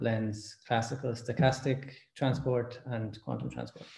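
Against a quiet background with audible room echo, a man speaks in a somewhat breathy, dark, mellow voice with monotone, flat intonation. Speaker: speaker. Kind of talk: lecture. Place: home room. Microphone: webcam.

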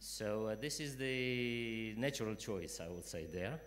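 Speaking at a fairly slow pace, a man uses lively intonation. His pitch is fairly low, and his tone is fairly bright.

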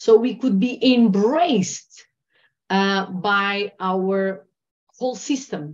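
A woman speaks with a Portuguese accent against a quiet background. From Portugal. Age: 40s. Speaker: trauma healing and meditation teacher. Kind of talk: interview. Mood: earnest, reflective. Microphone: video call.

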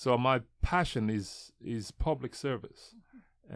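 A man's very slow speech stands out against a quiet background. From Nigeria. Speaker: city councilman and pastor; radio guest. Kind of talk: interview. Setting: studio. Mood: earnest, warm. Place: studio. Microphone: studio mic.

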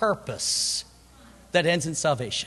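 A man with an American accent talks as noticeable background noise plays behind him. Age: 50s. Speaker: preacher. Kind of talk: sermon. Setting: church.

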